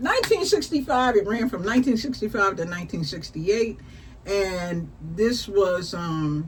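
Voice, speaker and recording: The woman has a normal speaking voice at medium pitch. She speaks at a moderate pace with lively intonation. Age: 60s. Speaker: talk show host. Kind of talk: casual chat. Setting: live stream.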